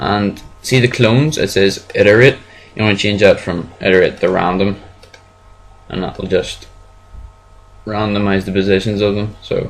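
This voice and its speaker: A man talks at a moderate pace with a fairly low pitch. His intonation is fairly even, broken by long, frequent pauses. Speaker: software tutorial maker. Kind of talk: screen-recorded tutorial. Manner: casual, hesitant.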